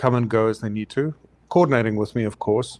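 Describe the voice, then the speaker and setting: A man talks at a medium pitch. He speaks with a South African accent. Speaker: photographer. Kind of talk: interview.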